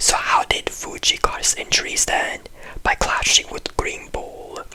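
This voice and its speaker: Whispering proceeds at a fairly slow pace amid noticeable background noise. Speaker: anime commentary youtuber. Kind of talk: video essay commentary. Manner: very quiet.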